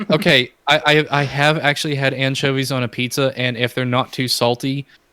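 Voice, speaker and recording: A man's bright, sharp voice at medium pitch in an American accent, with fairly even intonation and a fairly quick pace. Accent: flat American. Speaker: podcast co-host. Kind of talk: casual chat.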